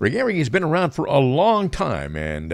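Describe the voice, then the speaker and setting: A man speaks at a moderate pace with vocal fry, in a very clean recording against a silent background. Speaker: radio host. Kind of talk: radio talk show. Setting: studio. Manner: enthusiastic.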